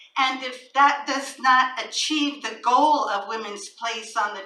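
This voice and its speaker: A woman speaks very slowly at a high pitch with fairly even intonation. Noticeable background noise can be heard. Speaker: poet. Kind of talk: poetry reading. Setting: live event in a small venue.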